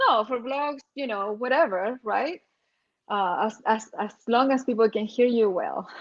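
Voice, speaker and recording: With lively intonation, a woman speaks at a high pitch and a fairly slow pace. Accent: strong Chilean. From Chile. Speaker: RV nomad vlogger. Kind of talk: casual chat.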